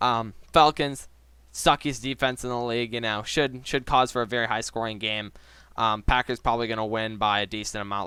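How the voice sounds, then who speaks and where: A man speaks very fast at a medium pitch, his bright, sharp tone carried by fairly even intonation on a very clean recording with a silent background. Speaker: sports YouTuber giving NFL predictions. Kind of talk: casual solo commentary video.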